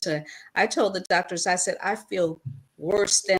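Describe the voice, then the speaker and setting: Delivered at a moderate pace, a normal speaking voice carries fairly even intonation. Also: woman. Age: 60s. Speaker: talk show co-host. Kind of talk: talk show discussion.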